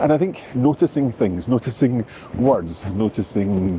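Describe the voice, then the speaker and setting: A man with a Scottish accent speaks with lively intonation. There is noticeable background noise. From Scotland. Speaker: language teacher and travel vlogger. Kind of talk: travel vlog narration. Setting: outdoors, walking in city streets. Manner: conversational, with hesitations.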